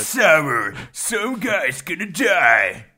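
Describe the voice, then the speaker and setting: A man speaks in a put-on character voice, pitched high. His voice is raised and projected. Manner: portentous, grandly dramatic.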